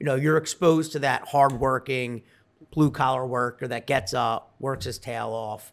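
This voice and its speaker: A man with a Philadelphia accent speaks at a moderate pace and medium pitch. His intonation is fairly even, in a very clean recording with a silent background. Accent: Philadelphia-area American. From Delaware County, Pennsylvania (near Philadelphia). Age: 40s. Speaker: tech startup CEO. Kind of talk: casual interview.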